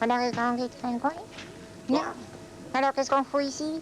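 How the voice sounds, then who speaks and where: A cartoonish character voice, female-sounding and high-pitched, moves at a fairly quick pace over clear background noise. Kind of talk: TV variety comedy. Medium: puppet.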